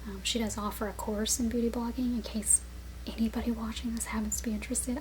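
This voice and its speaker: Whispering softly, the speaker goes at a very fast pace. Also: woman. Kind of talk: ASMR product review. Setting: home, on-camera mic. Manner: soft-spoken, some whispering.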